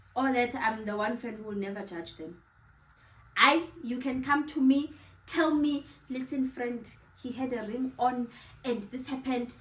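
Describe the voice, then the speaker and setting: With long, frequent pauses, a woman with a high pitch speaks at a moderate pace, her loudness swinging widely while her pitch varies in an ordinary way. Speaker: YouTuber, interviewer. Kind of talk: casual chat.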